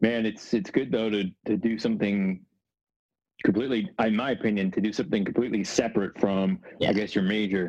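This is an unremarkable speaking voice from a man with an American accent. His pitch is fairly low, his intonation fairly even, and his pace fairly quick. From Northern New Jersey. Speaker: sports broadcaster. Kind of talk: casual interview chat.

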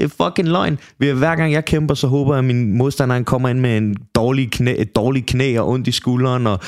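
At a moderate pace, a man talks in a plain, everyday voice, his medium pitch showing ordinary pitch variation. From Copenhagen, Denmark. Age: 20s. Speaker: MMA fighter. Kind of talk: casual chat.

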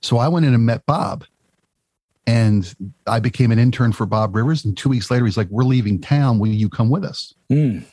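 A man with an American accent talks at a moderate pace and medium pitch, his dark, mellow tone somewhat breathy and his pitch variation ordinary. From Baltimore, Maryland. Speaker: former rock radio producer. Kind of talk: casual chat.

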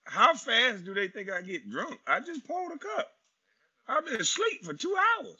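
A man with an extremely high pitch, an animated tone, very wide pitch swings and big swings in loudness. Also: moderate pace. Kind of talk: stand-up comedy riff, profane and crowd-facing, in the style of a live comedy set. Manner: animated, loud and profane, with punchlines and laughing at his own jokes.

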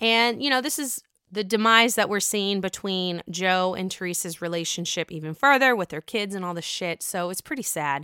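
A woman with an American accent speaks at a moderate pace and medium pitch, her tone bright and sharp and her intonation lively. She has hardly any pauses, on a very clean recording with a silent background. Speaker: podcast host. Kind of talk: casual chat. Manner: animated.

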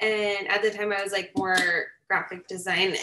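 A woman with a Californian accent and a bright, sharp tone at a fairly slow pace. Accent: Californian American English. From US West (California, Reno/Lake Tahoe area). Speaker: fashion designer. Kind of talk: casual interview. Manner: casual, many filler words.

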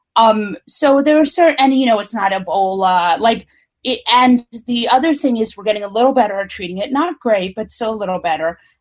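A woman speaks at a fairly quick pace in a somewhat breathy voice with lively intonation. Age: 40s. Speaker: author and political pundit. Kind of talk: casual chat. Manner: halting.

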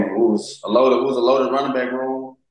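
A man speaks with an American accent at a medium pitch. Audible room echo surrounds his voice. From Texas. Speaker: pro football rookie running back. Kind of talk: casual interview.

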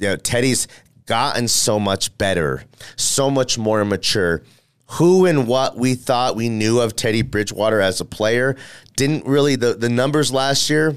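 In a very clean recording with a silent background, a man at medium pitch talks in an animated tone at a moderate pace, with very even loudness and ordinary pitch variation. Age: 30s. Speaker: sports radio host. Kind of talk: casual sports talk podcast.

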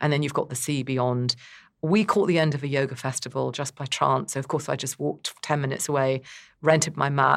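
A woman speaks at a very fast pace in a very deep, low voice. Vocal fry runs through her speech. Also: very clean recording, silent background. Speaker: travel journalist. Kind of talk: casual interview.

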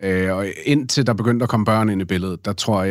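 This man has a fairly low pitch, fairly even intonation, and a moderate pace. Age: 30s. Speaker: podcast guest, father. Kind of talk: casual interview. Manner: halting, many fillers.

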